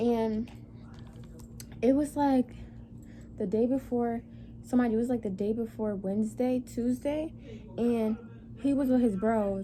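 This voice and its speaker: Her voice somewhat breathy and fairly high, a woman speaks in a dark, mellow tone with long, frequent pauses. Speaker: vlogger. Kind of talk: storytime vlog. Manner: fast; animated.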